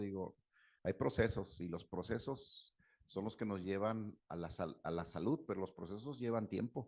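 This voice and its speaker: A man with a Mexican accent, fairly low pitch and ordinary pitch variation, at a moderate pace over a quiet background. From Mexico. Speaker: psychologist/therapist. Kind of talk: talk with Q&A.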